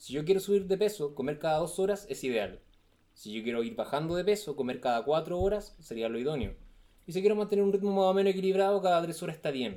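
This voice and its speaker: A man with a Chilean accent talks very fast at a high pitch, with lively intonation and a dark, mellow tone. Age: 30s. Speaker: nutritionist. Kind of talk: casual chat.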